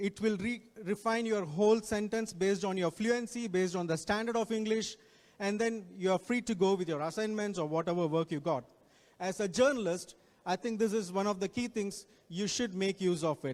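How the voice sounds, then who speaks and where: A man with an Indian accent talks at a fairly quick pace. His pitch is high, with ordinary variation. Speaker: guest speaker on technology. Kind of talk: talk to students. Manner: repetitive, self-correcting.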